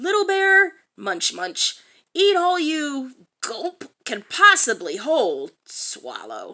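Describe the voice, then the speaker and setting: Putting on a character voice, a woman pitches it extremely high. Her delivery is very slow. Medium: read story.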